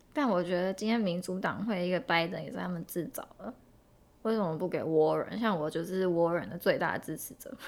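A woman with a plain, everyday voice speaks at a fairly low pitch and fairly quick pace. Her pitch varies in an ordinary way while her loudness swings widely. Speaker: podcast co-host. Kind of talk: casual chat.

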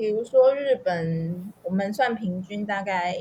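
This woman's voice is somewhat breathy. Her pitch sits in the medium range. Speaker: language learner sharing life abroad. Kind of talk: interview.

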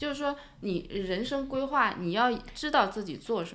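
A woman's fairly high voice with very wide pitch swings, amid audible room echo and noticeable background noise. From China, Shanghai. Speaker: immigrant parent. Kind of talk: casual chat.

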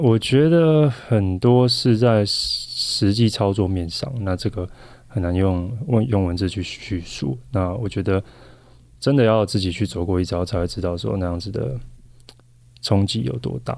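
This man has an ordinary speaking voice with a fairly low pitch. He talks fairly slowly, with lively intonation. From Taiwan. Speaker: professional volleyball player. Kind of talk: interview.

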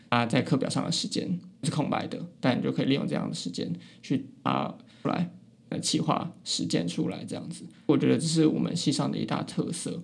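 A man speaks with a Taiwanese accent. He moves at a fairly quick pace. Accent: Taiwanese Mandarin. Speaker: university student podcaster. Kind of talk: casual chat. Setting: small room in a library. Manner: listless.

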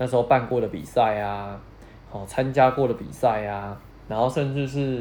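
An ordinary speaking voice from a man, medium pitch with ordinary variation, at a moderate pace. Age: 30s. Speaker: podcast host. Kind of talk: casual solo podcast monologue.

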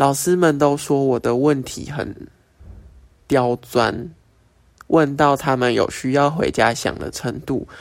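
A man with a fairly high pitch talks at a very slow pace, leaving long, frequent pauses, his intonation fairly even. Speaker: podcast host. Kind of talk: casual monologue. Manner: casual, filler-heavy.

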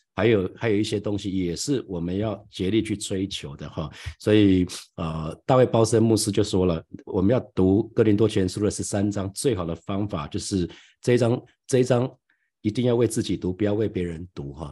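Against a quiet background, a man speaks with a Taiwanese accent at a fairly quick pace. His voice is fairly low, with a dark, mellow tone. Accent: Taiwanese Mandarin. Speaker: pastor. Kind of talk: sermon. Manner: halting.

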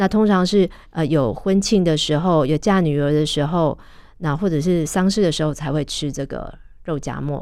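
On a very clean recording with a silent background, a woman talks at a moderate pace in a very deep, low pitch, with ordinary pitch variation. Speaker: food journalist and author. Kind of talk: radio interview. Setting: radio studio. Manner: hesitant with fillers.

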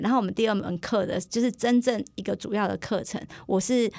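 Captured in a very clean recording with a silent background, a woman speaks with ordinary pitch variation. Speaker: primary school teacher. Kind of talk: casual interview. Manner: soft-spoken.

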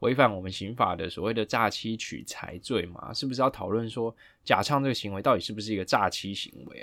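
A man with an unremarkable speaking voice talks fairly quickly, his pitch medium and its variation ordinary. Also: very clean recording, silent background. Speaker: lawyer podcast host. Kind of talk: casual legal discussion.

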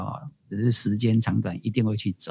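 Dry and close with no echo, a man talks at a fairly quick pace in an unremarkable speaking voice of medium pitch. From Taiwan, Tainan Annan district. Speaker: community college director. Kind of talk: interview conversation. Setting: remote call.

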